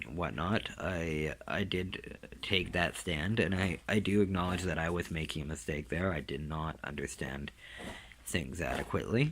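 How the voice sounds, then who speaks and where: This man's pitch is very deep and low, with vocal fry. He speaks at a fairly slow pace with ordinary pitch variation. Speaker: dog owner and trainer. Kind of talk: casual video narration. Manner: halting, many fillers and word searches; sometimes loses words due to brain damage.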